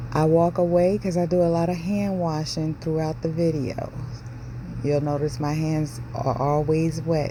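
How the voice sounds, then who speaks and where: With an American accent, a woman speaks fairly slowly in a very deep, low voice and fairly even intonation, with noticeable background noise and audible room echo. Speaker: home cook video host. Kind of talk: cooking tutorial voiceover. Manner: casual, chatty.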